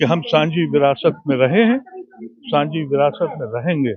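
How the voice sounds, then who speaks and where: A man talks with lively intonation. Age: 70s. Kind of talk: interview. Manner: impassioned.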